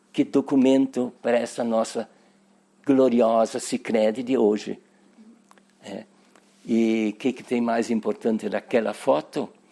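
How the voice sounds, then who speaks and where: A man's dark, mellow tone at a fairly slow pace, broken by long, frequent pauses. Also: medium pitch for a man. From southern Brazil, Nova Petrópolis, Rio Grande do Sul. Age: 80s+. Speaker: cooperative member interviewed about its history. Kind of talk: oral history interview. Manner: halting, with repetitions.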